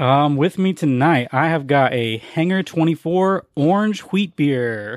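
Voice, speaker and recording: An ordinary speaking voice at a fairly slow pace, with very even loudness and lively intonation. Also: man, fairly high pitch for a man, hardly any pauses. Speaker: film podcaster. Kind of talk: casual chat.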